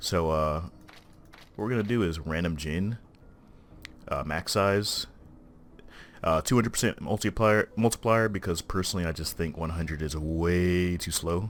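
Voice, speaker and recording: In a very clean recording with a silent background, a man speaks quietly at a moderate pace in a very deep, low pitch, with ordinary pitch variation and long, frequent pauses. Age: 20s. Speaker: gaming youtuber. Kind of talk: gameplay commentary. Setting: recording at home at night. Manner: hesitant, many fillers.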